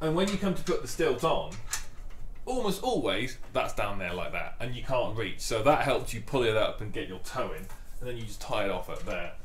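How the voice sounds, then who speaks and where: A man speaks at a fairly quick pace, with audible room echo and light background noise. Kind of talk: tutorial. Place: workshop.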